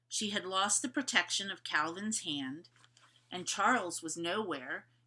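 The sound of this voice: What you hear is an unforced reading voice.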